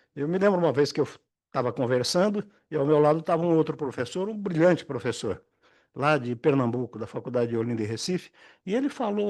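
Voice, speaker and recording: A man's fairly high pitch with very wide pitch swings, over a quiet background. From interior of São Paulo state (Aguaí). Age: 80s+. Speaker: retired judge and law professor. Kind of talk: lecture.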